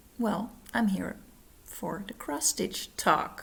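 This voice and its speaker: Speaking very slowly, a woman talks with a non-native accent. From Netherlands. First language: Dutch. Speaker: cross-stitch vlogger. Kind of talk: casual vlog. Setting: at home, living room. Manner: halting, many fillers. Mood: friendly, cheerful. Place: home room. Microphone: phone near.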